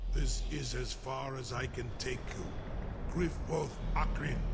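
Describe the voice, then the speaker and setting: A man performs a put-on character voice at a fairly slow pace. Loud background noise runs throughout. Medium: machinima. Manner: formal, archaic, commanding.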